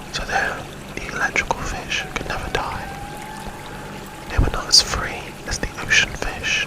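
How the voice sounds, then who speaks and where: Whispering at a fairly slow pace, a man leaves long, frequent pauses over noticeable background noise. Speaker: ASMR creator. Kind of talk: improvised ASMR story. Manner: whispered, soft-spoken.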